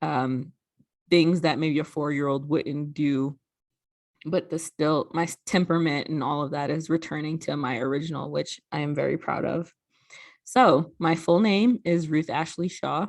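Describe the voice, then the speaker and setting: A woman's very deep, low voice in a slight New York accent, with ordinary pitch variation, a moderate pace and a quiet background. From New York (Brooklyn). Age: 30s. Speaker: sorority regional director. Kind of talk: recorded presentation.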